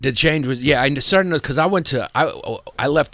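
A fairly quick delivery with a New York accent. The intonation is lively. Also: man. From Brooklyn, New York. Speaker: comedian. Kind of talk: casual chat.

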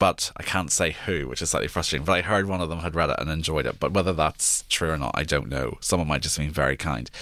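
A man with a Northern Irish accent speaks at a very fast pace with hardly any pauses. His very deep, low voice carries vocal fry and ordinary pitch variation. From Northern Ireland, near Belfast. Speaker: historian and author. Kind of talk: interview.

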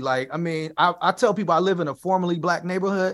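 A bright, sharp tone at a very fast pace, with ordinary pitch variation, comes through on a very clean recording with a silent background. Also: man. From US Midwest, South Side of Chicago. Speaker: activist and rapper. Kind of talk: radio interview.

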